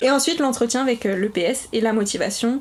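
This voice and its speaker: A woman with a fairly high voice speaks very fast with fairly even intonation over noticeable background noise. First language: Portuguese (speaking French). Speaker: primary school teacher. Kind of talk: casual interview.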